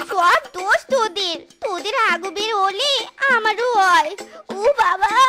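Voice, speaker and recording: A cartoonish character voice, female-sounding and extremely high in pitch, speaks in a whiny tone at a fairly slow pace, with faint music in the background. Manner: childish, whiny.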